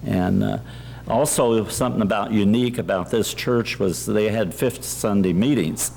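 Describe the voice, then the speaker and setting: A man's fairly low voice with very wide pitch swings, over noticeable background noise. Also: moderate pace, very even loudness. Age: 80s+. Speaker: pastor. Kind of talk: reminiscence speech. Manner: halting.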